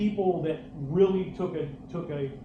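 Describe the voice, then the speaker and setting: Noticeable noise sits in the background. The room adds an audible echo. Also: man. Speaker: bowling coach and former pro bowler. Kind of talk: hall of fame acceptance speech. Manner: loud; animated, halting with repeats.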